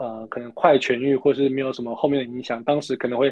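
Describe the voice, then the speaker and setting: This is a normal speaking voice. It moves along at a fairly quick pace. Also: man. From Taiwan. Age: 20s. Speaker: alpine skier. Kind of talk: interview.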